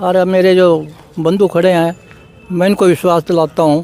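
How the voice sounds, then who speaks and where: A man with a high voice is heard over noticeable background noise. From Haryana, Yamunanagar district. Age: 80s+. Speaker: farmer activist. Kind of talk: interview.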